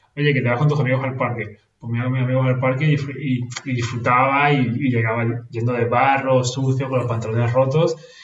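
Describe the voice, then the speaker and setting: Audible room echo surrounds a man speaking at a fairly quick pace and medium pitch with a monotone, flat intonation. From Venezuela, moved to Spain at seven. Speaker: nurse. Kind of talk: casual interview conversation. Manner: halting, with many repetitions.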